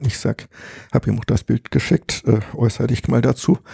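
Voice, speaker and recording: Over noticeable background noise, a man talks at a moderate pace with ordinary pitch variation, the sound dry and close with no echo. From Harz, Germany. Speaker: retired geologist and cave researcher. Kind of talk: casual interview. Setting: at his home.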